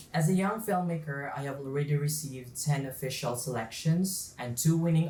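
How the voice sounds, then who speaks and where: A man talks with ordinary pitch variation, and audible room echo surrounds his voice. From Philippines, Southern Leyte. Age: 20s. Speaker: young filmmaker and guest speaker. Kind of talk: motivational talk. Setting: virtual event video call.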